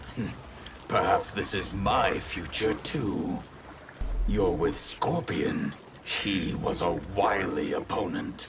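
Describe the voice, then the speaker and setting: A man uses a put-on character voice at a very slow pace. Clear background noise sits behind him. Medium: short film. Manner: composed, dryly witty.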